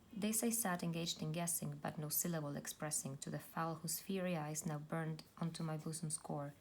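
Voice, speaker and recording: Fairly low-pitched and somewhat breathy, a woman talks at a fairly quick pace with fairly even intonation. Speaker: YouTube book reader / ASMR reader. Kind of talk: poetry reading, soft-spoken ASMR-style reading aloud. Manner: soft-spoken, gentle.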